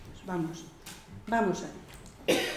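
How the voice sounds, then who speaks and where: Audible room echo and noticeable background noise fill the space. Through them, a woman talks at a medium pitch. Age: 60s. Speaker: gerontologist. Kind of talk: lecture. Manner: assertive, firm.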